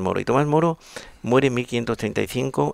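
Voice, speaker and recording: At a very fast pace, a man with a medium pitch and vocal fry talks with lively intonation. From Spain. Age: 70s. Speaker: psychiatrist. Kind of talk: interview answer.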